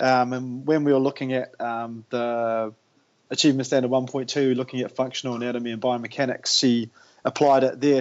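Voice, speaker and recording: A man with a New Zealand accent talks at a fairly quick pace. His pitch is medium. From New Zealand, Tauranga. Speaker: high school PE and health teacher. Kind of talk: casual interview. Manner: enthusiastic.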